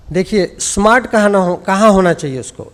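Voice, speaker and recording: The speaker has an Indian accent and talks at a very slow pace. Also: man. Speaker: sports scientist and former coach. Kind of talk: conference speech.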